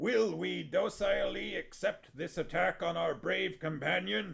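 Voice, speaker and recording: Someone talks in a put-on character voice. Their speed is moderate. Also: man. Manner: demanding.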